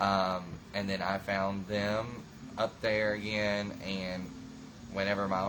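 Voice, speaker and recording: In a rural Southern US accent, a man speaks at a fairly low pitch with fairly even intonation, with audible room echo. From US South, rural Florida (Okeechobee). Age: 20s. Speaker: reality show cast member. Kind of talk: interview. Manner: hesitant, many fillers.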